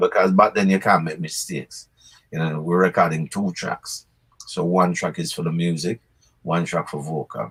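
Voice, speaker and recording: Here a man speaks in a Jamaican accent at a moderate pace. His very deep, low pitch stays monotone and flat. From Jamaica, Clarendon. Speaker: reggae singer. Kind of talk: interview answer.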